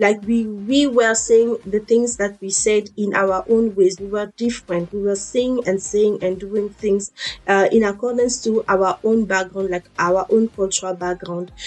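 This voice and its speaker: Over noticeable background noise, a woman with an African accent talks at a fairly slow pace with hardly any pauses, using a medium pitch and fairly even intonation. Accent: African accent kept when speaking. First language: an African language. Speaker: fitness and motivation vlogger. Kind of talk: motivational talk.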